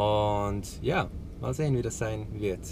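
The intonation stays fairly even as this man talks.

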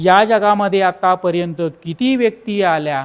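This very clean recording has a silent background. A man speaks in a normal speaking voice with lively intonation. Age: 50s. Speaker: teacher and YouTuber. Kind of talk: book summary talk.

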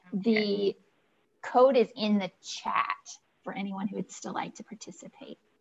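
Over light background noise, a somewhat breathy woman speaks at a fairly slow pace with fairly even intonation and long, frequent pauses. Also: medium pitch for a woman. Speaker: GIS tool demonstrator. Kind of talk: software demonstration. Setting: video call. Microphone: video call.

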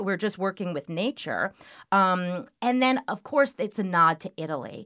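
A woman speaks at a moderate pace with very wide pitch swings against a quiet background. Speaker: winery sales director, podcast guest. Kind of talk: interview answer. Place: studio.

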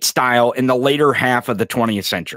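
A man with an American accent talks at a fairly quick pace in a bright, sharp tone. The background is quiet and the sound is dry, with no echo. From US. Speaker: podcast host. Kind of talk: angry political rant, profane and sarcastic. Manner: emphatic with repetitions and stumbles. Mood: irritated, emphatic, swearing. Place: studio. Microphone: studio mic.

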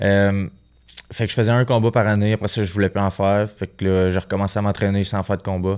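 Over a quiet background, a man with a Quebec accent talks very fast in a monotone, flat intonation at a fairly low pitch. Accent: Québécois French. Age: 20s. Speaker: professional boxer; guest. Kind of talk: casual interview. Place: studio. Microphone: studio mic.

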